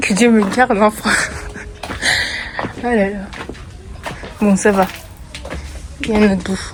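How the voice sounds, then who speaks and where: A woman at a fairly high pitch and fairly slow pace, with monotone, flat intonation, long, frequent pauses and music in the background. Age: 20s. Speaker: travel vlogger. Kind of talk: casual vlog narration. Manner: casual, chatty.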